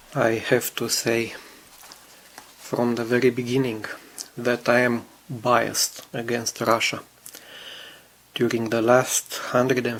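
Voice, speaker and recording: Noticeable background noise under fairly slow speech. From Romania. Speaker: scale model builder. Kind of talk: video commentary.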